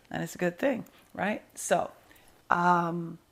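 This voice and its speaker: A woman speaks in a New York accent. Her pace is very slow. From New York (Brooklyn). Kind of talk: interview.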